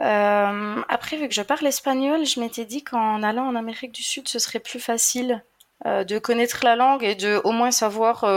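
At a fairly slow pace, a woman talks with a high pitch and fairly even intonation. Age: 30s. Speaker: traveling single mother. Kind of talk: casual interview.

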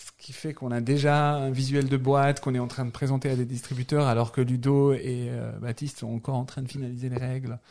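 A man with a dark, mellow tone talks at medium pitch and a fairly quick pace, in a monotone, flat delivery with hardly any pauses and big swings in loudness. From Algeria, Algiers. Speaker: board game publisher. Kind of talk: casual chat. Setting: studio.

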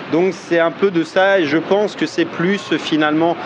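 The intonation stays fairly even. There is noticeable background noise. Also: man. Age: 40s. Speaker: internet entrepreneur and marketing youtuber. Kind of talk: interview.

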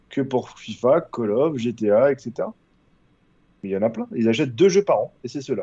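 The man's voice sits at a medium pitch with a dark, mellow tone and ordinary pitch variation, at a moderate pace. The sound is dry and close with no echo, and the background is quiet. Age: 30s. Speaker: gaming site contributor. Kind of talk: casual chat.

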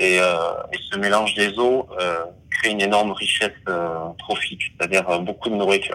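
The talking goes at a moderate pace, with noticeable noise in the background. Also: man, fairly low pitch for a man, fairly even intonation. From French Basque Country. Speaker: underwater videographer and diver. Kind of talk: interview. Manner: hesitant, many fillers and repetitions.

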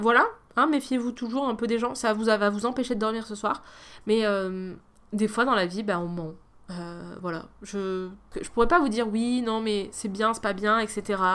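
A woman speaks at a fairly slow pace in a fairly high voice with ordinary pitch variation. Her long, frequent pauses stand out on a very clean recording with a silent background. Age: 30s. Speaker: podcast host. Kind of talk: solo monologue. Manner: casual.

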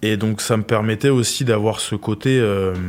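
A man's plain, everyday voice with fairly low pitch and fairly even intonation. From France, Loire region. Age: 20s. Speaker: professional rugby player. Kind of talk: interview.

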